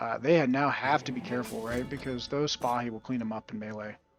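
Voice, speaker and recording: Music plays in the background. Over it, a man with a medium-pitched voice talks at a fairly quick pace. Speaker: game commentator. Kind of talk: live commentary.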